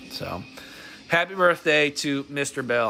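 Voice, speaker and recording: Music plays behind a man who speaks with lively intonation in an American accent. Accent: slight country twang, stronger when drinking. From Texas (Dallas). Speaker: mobile game streamer. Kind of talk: casual livestream chat. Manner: halting, many restarts and fillers.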